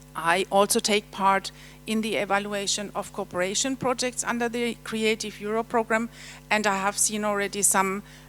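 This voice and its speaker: A woman with a German accent speaks at medium pitch in a flat monotone, on a very clean recording with a silent background. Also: moderate pace. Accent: German accent noticeable. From Germany. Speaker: European Commission official presenting. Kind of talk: conference presentation. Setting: seminar hall with audience. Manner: halting, many fillers.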